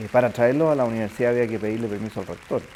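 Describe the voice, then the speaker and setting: Medium in pitch, a man talks with ordinary variation. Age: 60s. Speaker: university rector. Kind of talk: interview testimony. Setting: office. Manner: hesitant, many fillers.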